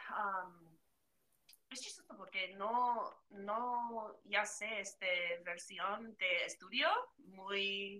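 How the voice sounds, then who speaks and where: A woman speaks with a non-native accent and a bright, sharp tone. Her loudness swings widely. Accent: non-native Spanish speaker. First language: English (speaking Spanish). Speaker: podcast guest. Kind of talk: casual chat. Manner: halting.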